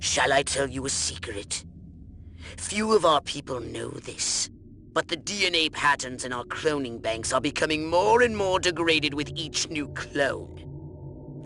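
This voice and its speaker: A put-on character voice sits at a low-to-middle pitch. Background noise is clearly heard. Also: moderate pace. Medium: video game. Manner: condescending, sardonic.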